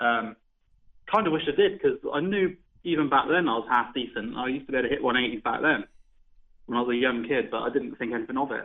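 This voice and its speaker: Speaking with a West Country accent, a man talks at a very fast pace with lively intonation and a fairly high pitch. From Devon, southwest England. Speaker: professional darts player. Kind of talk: interview.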